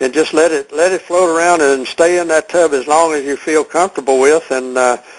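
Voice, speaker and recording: Noticeable background noise behind a moderate-paced voice with an American accent and fairly even intonation. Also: man. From Texas. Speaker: product seller hosting a conference call. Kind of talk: conference call Q&A. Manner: halting, many fillers and repeats.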